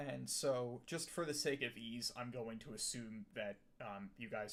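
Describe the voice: The recording consists of plain reading aloud.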